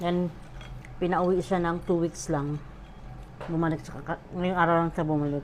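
A woman speaks at a moderate pace in a fairly low, monotone, flat voice. Long, frequent pauses break up her speech. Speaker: vlogger, overseas worker. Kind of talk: casual food-tasting vlog.

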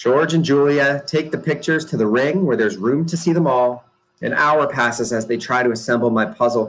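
An unforced reading voice with ordinary pitch variation sounds against a quiet background.

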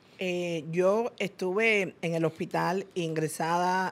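Fairly even intonation in a woman's fairly low-pitched voice. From Cuba. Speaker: businesswoman; interview guest. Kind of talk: interview. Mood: earnest, reflective storytelling. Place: studio. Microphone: studio mic.

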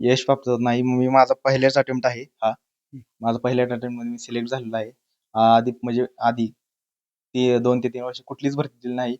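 Dry and close with no echo, a man's voice at medium pitch stays monotone and flat. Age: 20s. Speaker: air force recruit. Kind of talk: interview. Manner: halting.

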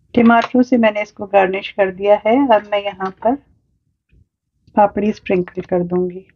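Her voice medium in pitch with fairly even intonation, a woman speaks at a moderate pace in a dry, close sound with no echo.

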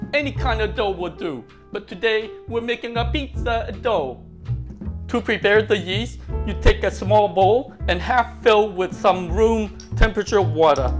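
Clear music plays in the background. Over it, a man talks at a fairly slow pace. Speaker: home cook vlogger. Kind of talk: casual cooking tutorial. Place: kitchen. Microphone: lapel.

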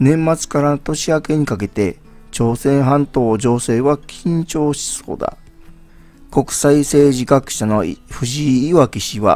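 A man talks at a very slow pace with a fairly high pitch. His pitch variation is ordinary, and music plays in the background. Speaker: YouTube news commentator. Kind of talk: news article reading.

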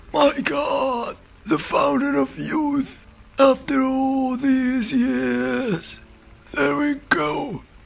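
Using a put-on character voice, a man speaks at an extremely high pitch and a very slow pace. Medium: dub.

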